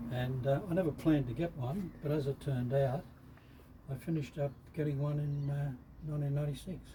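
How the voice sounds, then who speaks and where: A man at a very fast pace, with long, frequent pauses, fairly even intonation and noticeable background noise. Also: fairly high pitch for a man. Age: 80s+. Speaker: classic car owner. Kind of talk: interview. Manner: halting.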